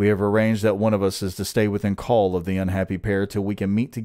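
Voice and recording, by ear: A text read aloud, the voice natural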